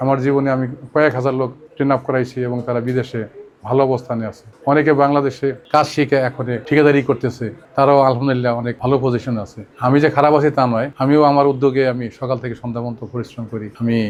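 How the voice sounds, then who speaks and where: Over noticeable background noise, a man talks at medium pitch with monotone, flat intonation. His loudness swings a lot. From Bangladesh, Faridpur district. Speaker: vocational training centre owner, former migrant worker. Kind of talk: testimony.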